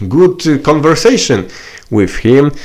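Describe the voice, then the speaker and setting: A man speaks with a Polish accent. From Poland. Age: 30s. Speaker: political activist vlogger. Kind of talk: political video message. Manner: halting, many fillers.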